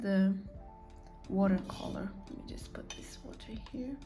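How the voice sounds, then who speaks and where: A woman with a non-native accent speaks at a medium pitch with fairly even intonation. Music plays in the background, and there is audible room echo. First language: not English. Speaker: artist painting on camera. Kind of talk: casual painting commentary. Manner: halting, with fillers.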